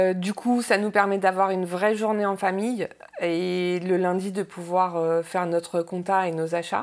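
The intonation is monotone and flat in a very clean recording with a silent background. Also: woman. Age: 40s. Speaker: restaurant owner. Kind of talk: interview testimony. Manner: halting, many hesitations.

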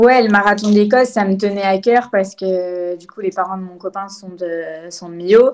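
A woman speaks at a medium pitch and a fairly slow pace. Her intonation is fairly even. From France, Lyon. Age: 20s. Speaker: trail runner and law student. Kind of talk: interview. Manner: hesitant, many fillers.

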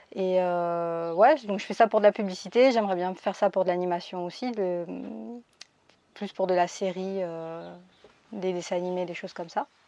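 With a dark, mellow tone and fairly even intonation, a woman speaks, leaving long, frequent pauses. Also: medium pitch for a woman, moderate pace, quiet background. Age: 20s. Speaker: illustrator and 3D artist. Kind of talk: interview. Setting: remote interview during lockdown in Spain.

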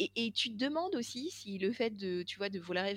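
Speaking at a moderate pace, a woman has a medium-pitched voice. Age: 40s. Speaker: podcast co-host. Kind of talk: casual chat. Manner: halting.

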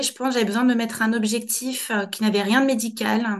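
Over a quiet background, the voice moves at a moderate pace with monotone, flat intonation. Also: woman. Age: 30s. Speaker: general practitioner. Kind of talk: interview testimony. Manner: halting.

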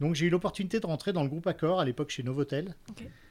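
The voice belongs to a man. The rise and fall of his pitch is ordinary. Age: 40s. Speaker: restaurant entrepreneur. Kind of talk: interview. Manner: halting.

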